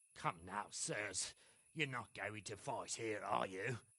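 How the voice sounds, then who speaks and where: A man puts on a raspy character voice, pitched fairly low, speaking at a fairly slow pace with ordinary pitch variation. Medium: video game. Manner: earthy, colloquial.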